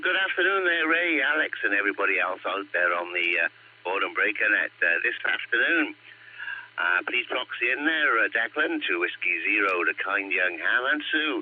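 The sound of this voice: A croaky male voice with big pitch swings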